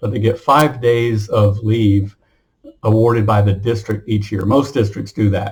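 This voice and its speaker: Speaking at a moderate pace, a man with a medium pitch sounds somewhat breathy. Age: 60s. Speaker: retired teacher and military veteran. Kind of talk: casual monologue vlog. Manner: hesitant, with many fillers and repetitions.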